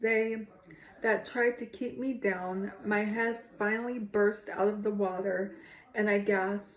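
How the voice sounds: The delivery is a natural reading voice with fairly even intonation.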